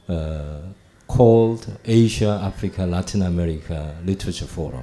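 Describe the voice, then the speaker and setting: A man speaks with a Korean accent in a very deep, low pitch. His tone is dark and mellow, with ordinary pitch variation. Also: moderate pace. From South Korea. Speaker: professor. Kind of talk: panel discussion.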